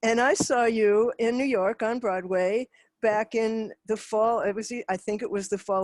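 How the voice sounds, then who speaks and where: A woman speaks at a moderate pace in a plain, everyday voice, pitched fairly high. Her intonation is fairly even, and the sound is dry and close with no echo. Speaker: interviewer, podcast host. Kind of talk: interview questions.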